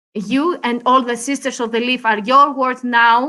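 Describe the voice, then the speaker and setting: A woman's high-pitched, raised and projected voice in a Greek accent, bright and sharp in tone. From Greece. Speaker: cigar industry guest. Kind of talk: interview. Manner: halting, many hesitations.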